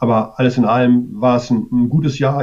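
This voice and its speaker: A man's voice has a dark, mellow tone and monotone, flat intonation. He talks at a fairly quick pace. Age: 50s. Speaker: advertising sales manager and cycling writer. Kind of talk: casual interview.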